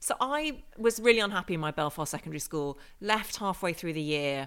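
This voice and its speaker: A woman's bright, sharp voice at a fairly quick pace, swinging very widely in pitch, on a very clean recording with a silent background. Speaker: journalist and author. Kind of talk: interview.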